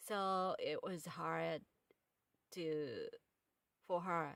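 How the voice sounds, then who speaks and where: A woman's fairly low-pitched voice at a very slow pace. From Japan, Kyoto. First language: Japanese. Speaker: podcast host and author. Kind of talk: casual monologue. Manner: halting.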